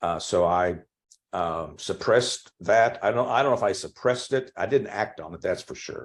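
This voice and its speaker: Speaking with an American accent at a moderate pace, a man uses a fairly low voice with ordinary pitch variation on a very clean recording with a silent background. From Oklahoma, small town north of Tulsa. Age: 60s. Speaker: Episcopal priest. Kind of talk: oral history interview. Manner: halting, many fillers.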